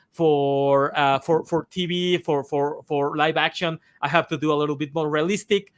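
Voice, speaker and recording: Intonation stays fairly even at a moderate pace. The sound is dry and close, with no echo. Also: man, fairly high pitch for a man. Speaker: comic artist and animator. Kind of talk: casual interview chat. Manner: halting, many fillers and repetitions.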